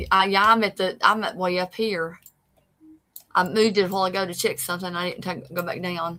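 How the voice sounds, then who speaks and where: A woman's medium-pitched voice in an East Tennessee accent, bright and sharp in tone, monotone and flat in intonation, at a fairly quick pace. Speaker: paranormal show co-host. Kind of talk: casual chat. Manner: halting.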